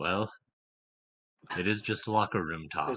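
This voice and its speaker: Here a man puts on a character voice, pitched fairly low. He talks at a moderate pace. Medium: actual play. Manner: calm, self-assured.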